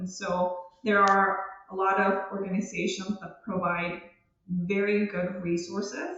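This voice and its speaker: The speaker, with a Spanish accent, talks in a monotone, flat way amid audible room echo. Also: woman. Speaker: research genetic counselor. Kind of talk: podcast interview.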